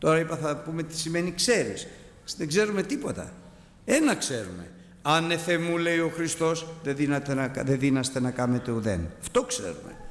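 A man's fairly high-pitched, lively voice at a fairly slow pace with audible room echo. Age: 60s. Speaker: preacher. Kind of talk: sermon. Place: church. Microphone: podium.

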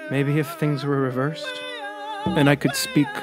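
Moderate pace over background music. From Garden River First Nation, Ontario. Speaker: storyteller. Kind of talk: spoken word poetry.

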